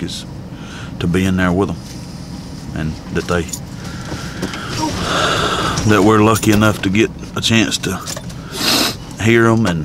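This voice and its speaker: Against noticeable background noise, in a dry sound with no echo, a man speaks at a fairly slow pace with ordinary pitch variation and long, frequent pauses. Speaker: hunter vlogger. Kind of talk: casual vlog chat. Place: car. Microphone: phone near.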